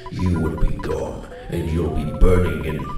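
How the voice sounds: Amid strong room echo and clear music in the background, a man performs a put-on character voice at a low pitch, with very wide pitch swings and a fairly slow pace.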